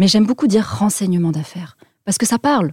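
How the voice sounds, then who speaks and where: This woman's somewhat breathy voice moves at a fairly quick pace with ordinary pitch variation. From French Alps. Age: 30s. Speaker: business intelligence firm founder, former army officer. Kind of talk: interview.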